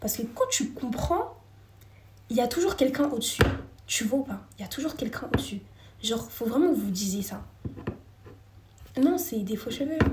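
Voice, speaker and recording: Her voice is high and her intonation lively, with big swings in loudness and long, frequent pauses, while audible room echo and noticeable background noise fill the recording of this woman. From France. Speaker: live streamer. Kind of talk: casual live chat with viewers. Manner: fast.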